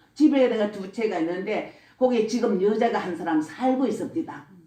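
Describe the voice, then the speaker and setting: With very wide pitch swings, a woman speaks at a fairly slow pace in a fairly high pitch. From Gyeongsang region, South Korea. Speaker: church deaconess giving testimony. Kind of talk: religious testimony. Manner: blunt, rough-spoken.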